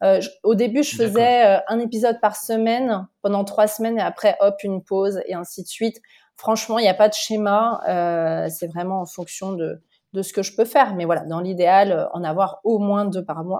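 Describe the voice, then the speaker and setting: In a dark, mellow tone, a woman talks at a medium pitch. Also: ordinary pitch variation, moderate pace. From France, Lyon. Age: 30s. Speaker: podcaster. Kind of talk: interview. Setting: remote recording. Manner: halting.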